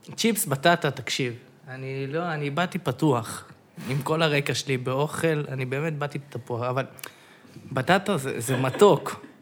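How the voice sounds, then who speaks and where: This man has an unremarkable speaking voice, pitched fairly high. He talks at a fairly slow pace with ordinary pitch variation. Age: 20s. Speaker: podcast guest. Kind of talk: casual chat. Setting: studio.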